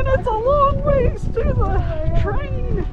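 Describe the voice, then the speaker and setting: A woman is speaking. Clear music plays in the background. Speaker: travel vlogger. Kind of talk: casual vlog chat. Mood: excited, amazed by snow. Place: open country. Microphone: phone near.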